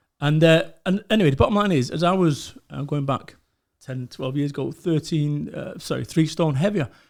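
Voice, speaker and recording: Speaking with a Mancunian accent, a man talks at a moderate pace with a fairly high pitch and ordinary pitch variation. The recording is very clean, with a silent background. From northern England, Salford, Greater Manchester. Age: 40s. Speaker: motivational speaker. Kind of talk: podcast interview, casual chat. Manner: animated, heavy swearing.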